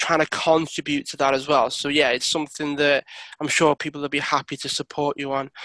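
A plain, everyday voice: a man speaking at a fairly high pitch and a moderate pace. The sound is dry and close, with no echo. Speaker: podcast host. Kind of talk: casual interview.

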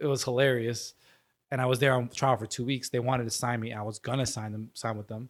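A man with a New York accent speaks at a very fast pace and a medium pitch. His intonation is monotone and flat, in a very clean recording with a silent background. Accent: New York American. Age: 20s. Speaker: professional soccer player. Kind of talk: casual interview.

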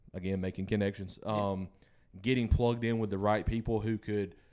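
With a Southern US accent, a man speaks at a very fast pace in a fairly low pitch with fairly even intonation. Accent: Southern US (Georgia). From Georgia, US South. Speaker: country musician. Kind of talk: casual interview. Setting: studio.

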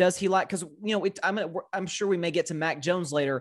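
With a slight Southern US accent, a man speaks at a high pitch with ordinary pitch variation. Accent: slight Southern drawl. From US South, Tennessee. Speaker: sports podcaster. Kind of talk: casual sports debate. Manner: halting, repeats words.

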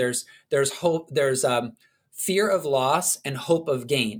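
A man's fairly high voice with ordinary pitch variation, on a very clean recording with a silent background. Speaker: conference founder and coach. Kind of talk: interview conversation. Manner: animated.

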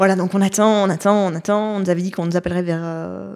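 A woman's very fast, medium-pitched speech in a monotone, flat intonation. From Belgium. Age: 30s. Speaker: mother sharing birth story. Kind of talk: testimony.

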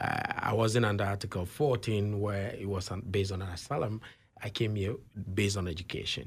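A man speaks in a fairly low, somewhat breathy voice with fairly even intonation. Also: moderate pace. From Ghana. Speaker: author and consultant. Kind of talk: interview.

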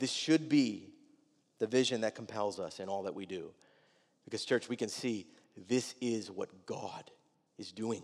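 A man speaks with long, frequent pauses. His pitch variation is ordinary. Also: medium pitch for a man, fairly slow pace. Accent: American. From Wisconsin, US Midwest. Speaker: pastor. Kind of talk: sermon. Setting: church.

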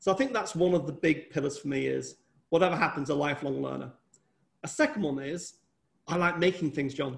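A man speaks at a fairly quick pace in a fairly high voice with vocal fry, ordinary pitch variation and long, frequent pauses. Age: 50s. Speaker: entrepreneur and company chairman. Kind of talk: interview.

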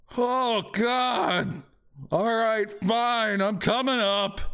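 Pitched fairly high, this put-on character voice moves at a very slow pace. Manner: irritable, put-upon.

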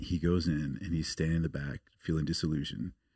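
The voice has vocal fry and fairly even intonation. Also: man. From US Pacific Northwest, outside Portland, Oregon. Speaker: missionary. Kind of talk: casual interview.

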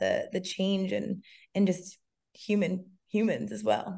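A woman's medium-pitched voice with vocal fry. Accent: American. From Massachusetts, near Cape Cod. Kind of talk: interview.

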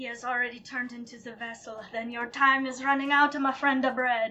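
A female-sounding voice in a put-on character voice, pitched high, delivers lines at a fairly quick pace with monotone, flat intonation. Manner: menacing.

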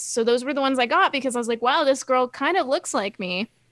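A woman speaks at a moderate pace with a bright, sharp tone on a very clean recording with a silent background and a dry, close sound with no echo. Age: 20s. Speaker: podcast host. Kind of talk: casual chat; scripted outro.

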